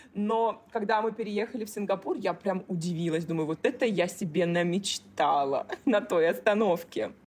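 With hardly any pauses, a woman in a plain, everyday voice talks at a moderate pace and medium pitch with lively intonation. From Russia, Kaliningrad. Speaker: business coach. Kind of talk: casual interview chat. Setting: remote call.

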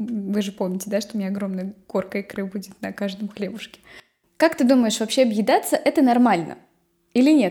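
Somewhat breathy and with a dark, mellow tone, a woman talks at a fairly quick pace and fairly high pitch with ordinary pitch variation. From Nizhny Novgorod region, Russia. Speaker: podcast host. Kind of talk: casual chat.

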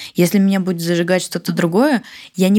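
A woman's dark, mellow tone at a fairly quick pace. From Siberia, Russia (Barnaul). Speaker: entrepreneur, marketing agency founder. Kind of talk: casual interview.

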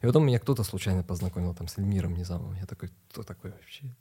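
A man's very deep, low voice, dark and mellow in tone and somewhat breathy, at a very fast pace. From Ukraine, Kharkiv. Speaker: ballet dancer and film actor. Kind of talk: casual chat.

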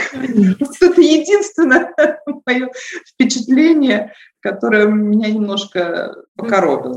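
Long, frequent pauses break up delivery that proceeds at a very slow pace. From Eastern Europe, post-Soviet. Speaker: life and leadership coach. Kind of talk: interview.

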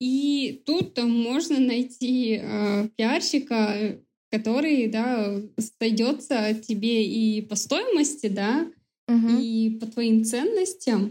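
Very slowly, a woman talks in a dark, mellow tone at a fairly high pitch with ordinary pitch variation. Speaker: PR manager. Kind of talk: casual interview chat.

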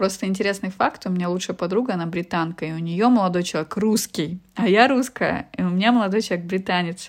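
Against a quiet background, a woman speaks very fast at a medium pitch with ordinary pitch variation. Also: hardly any pauses. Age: 30s. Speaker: business consultant. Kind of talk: interview. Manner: hesitant with fillers.

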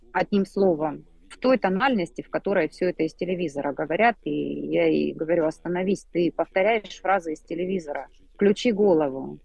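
Here is a woman with an ordinary speaking voice, pitched fairly low. She moves at a fairly quick pace with ordinary pitch variation. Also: big swings in loudness. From Rostov-on-Don, Russia. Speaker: emigrant reader sharing her story. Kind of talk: personal interview story.

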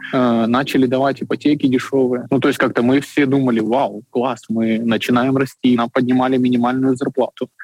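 This man speaks at medium pitch and a moderate pace, with hardly any pauses and very even loudness. His intonation is flat and monotone, and the sound is dry and close with no echo. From Ukraine, Kyiv. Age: 20s. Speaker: coffee shop owner. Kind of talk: interview.

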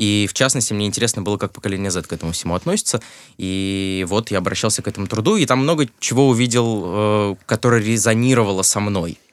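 A man talks at a very fast pace in a fairly low pitch with ordinary pitch variation, on a very clean recording with a silent background. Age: 20s. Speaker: film journalist and screenwriter. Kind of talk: casual chat.

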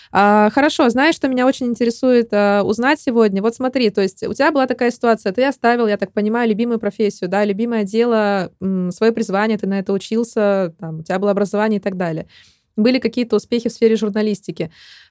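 Talking very fast, a woman with a fairly high pitch and ordinary pitch variation comes through a dry, close sound with no echo. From Russia. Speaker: podcast host. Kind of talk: interview. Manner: animated.

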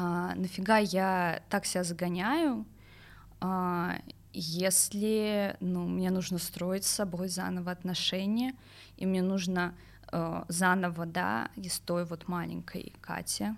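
In a very clean recording with a silent background, a woman talks at a very slow pace with ordinary pitch variation. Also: medium pitch for a woman. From Moscow region, Russia. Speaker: journalist. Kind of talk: personal testimony interview. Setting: studio. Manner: hesitant, many fillers.

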